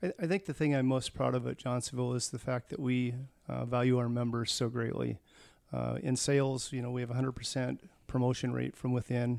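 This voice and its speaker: Here is an unremarkable speaking voice from a man with an American accent at a medium pitch. He moves at a fairly quick pace with fairly even intonation. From US Pacific Northwest, Tacoma, Washington. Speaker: food company employee. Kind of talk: interview.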